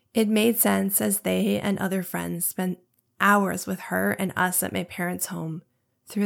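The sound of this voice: A woman with a fairly low pitch and vocal fry speaks at a fairly slow pace with little pitch movement, on a very clean recording with a silent background.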